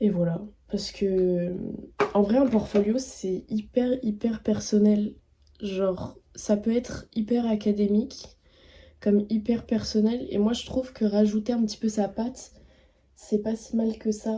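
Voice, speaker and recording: Speaking at a very slow pace with long, frequent pauses, a woman has a dark, mellow, somewhat breathy tone, a fairly high pitch and fairly even intonation. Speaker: vlogger and art student. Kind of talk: casual vlog. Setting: outdoors, walking. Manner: hesitant.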